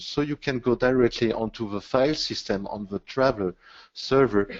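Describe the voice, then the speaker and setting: A man's normal speaking voice, moderate pace, ordinary pitch variation. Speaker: webinar presenter, IT consultant. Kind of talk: technical webinar presentation. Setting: online webinar.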